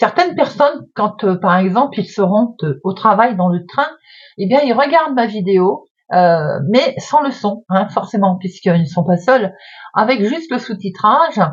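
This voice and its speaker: A woman speaks at a fairly slow pace in a medium pitch, somewhat breathy. Her pitch swings very widely. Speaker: tarot card reader. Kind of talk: fortune-telling card reading. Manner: hesitant, many filler sounds. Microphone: close to the mic.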